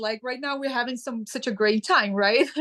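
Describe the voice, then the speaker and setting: Her pitch is high, and this woman's pitch variation is ordinary. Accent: Ukrainian. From Ukraine. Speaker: sustainability advocate. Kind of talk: interview. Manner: halting, with fillers.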